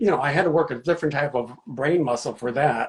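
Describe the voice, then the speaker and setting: A man's somewhat breathy voice. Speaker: children's book author. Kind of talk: interview. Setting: video live stream. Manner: halting, many fillers.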